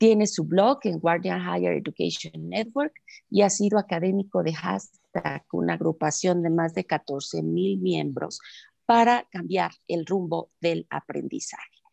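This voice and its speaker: Fairly slow speech over a quiet background. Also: woman, dry sound with no echo. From Mexico. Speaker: seminar co-organizer; seminar host introducing speaker. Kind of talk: reading aloud. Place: home room. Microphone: video call.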